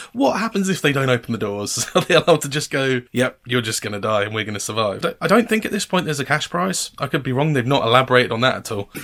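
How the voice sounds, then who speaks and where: A man talks in a southern English accent at a very fast pace with hardly any pauses. His pitch swings very widely. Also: medium pitch for a man. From England, Cambridge. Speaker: reaction video reviewer. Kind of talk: casual commentary.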